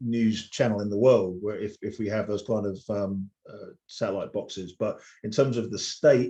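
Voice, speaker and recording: A man with an English accent speaks at a fairly slow pace and medium pitch. His tone is dark and mellow, with fairly even intonation. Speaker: DJ. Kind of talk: casual chat. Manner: halting, many fillers and repeats.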